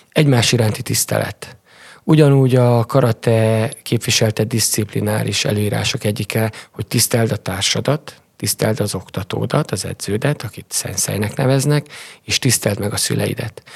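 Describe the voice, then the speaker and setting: An ordinary speaking voice, dry and close with no echo, at a moderate speed and with ordinary pitch variation. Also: man, medium pitch for a man. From Transylvania, Romania (Sepsiszentgyörgy). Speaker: karate coach. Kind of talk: interview.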